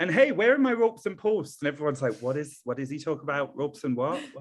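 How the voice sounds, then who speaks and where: Very fast speech with an American accent. The intonation is lively. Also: man, fairly high pitch for a man. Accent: British accent with some American drift. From northern England. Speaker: event professional. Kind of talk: podcast interview. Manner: rising intonation at sentence ends; hesitant fillers.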